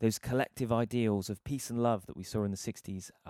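Spoken with a British accent at a fairly quick pace, the voice sounds dry and close with no echo. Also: man, very clean recording, silent background. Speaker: podcast host, guitarist. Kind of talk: casual chat.

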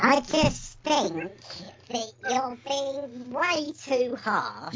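A very slow, high put-on character voice that sounds female

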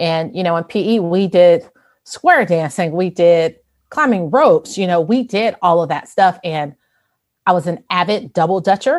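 A woman speaks at a moderate pace in a fairly low pitch with ordinary pitch variation. It is a normal speaking voice. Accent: American. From Chicago, US Midwest. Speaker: fitness instructor. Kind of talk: interview.

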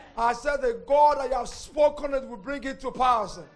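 A man speaks with an extremely high pitch and fairly even intonation at a fairly quick pace. Music plays in the background. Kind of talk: prayer and sermon. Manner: earnest, exhorting.

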